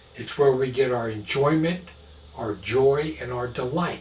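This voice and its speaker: Speech at a very slow pace with ordinary pitch variation comes through noticeable background noise and audible room echo. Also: man. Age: 60s. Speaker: pastor. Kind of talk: sermon.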